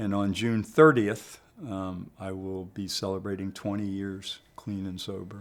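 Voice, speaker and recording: In an ordinary speaking voice with an American accent, a man talks at a fairly slow pace and fairly low pitch with fairly even intonation. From Maryland, US. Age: 60s. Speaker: recovery worker sharing his story. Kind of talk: personal testimony in interview.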